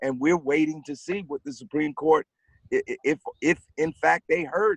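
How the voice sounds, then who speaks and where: Here a man has an unremarkable speaking voice, fairly high in pitch. He talks at a moderate pace, and the sound is dry and close with no echo. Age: 60s. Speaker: activist. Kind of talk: panel discussion.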